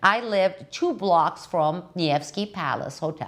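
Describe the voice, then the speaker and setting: A woman speaks with a non-native accent. Her pace is fairly slow. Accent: foreign. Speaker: political commentator. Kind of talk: casual monologue. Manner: deliberately slow.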